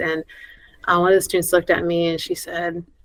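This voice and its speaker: Speaking at a fairly quick pace with a Spanish accent, a woman uses a fairly low voice and a monotone, flat intonation. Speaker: school principal and education association board president. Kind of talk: podcast interview. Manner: conversational with many fillers.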